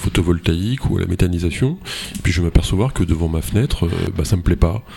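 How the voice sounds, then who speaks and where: There is noticeable background noise. A man is speaking through it. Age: 50s. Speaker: radio host. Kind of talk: radio political debate moderation.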